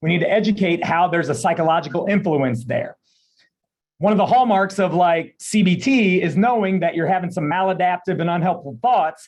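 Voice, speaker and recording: A man talks at a fairly quick pace with a high pitch. His pitch variation is ordinary. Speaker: pain psychologist. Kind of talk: presentation. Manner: fast.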